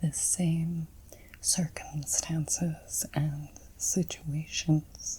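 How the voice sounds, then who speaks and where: A woman speaks very slowly. Her voice is soft-spoken. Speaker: intuitive card reader. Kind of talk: ASMR card reading.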